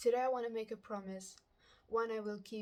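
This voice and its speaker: A woman with a non-native accent, at a moderate pace, with fairly even intonation. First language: not English. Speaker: amateur writer sharing a personal message. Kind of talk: reading aloud.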